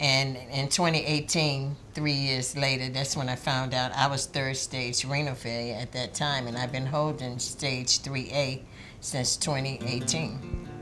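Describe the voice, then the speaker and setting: A woman's very deep, low, monotone voice at a fairly slow pace with hardly any pauses and audible room echo. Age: 60s. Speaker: community activist. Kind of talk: documentary interview.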